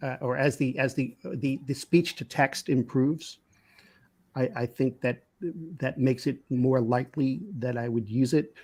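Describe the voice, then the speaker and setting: Speaking fairly slowly with a New York accent, a man keeps his intonation fairly even on a very clean recording with a silent background. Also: medium pitch for a man. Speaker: business consultant. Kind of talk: casual interview conversation. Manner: halting, many repetitions.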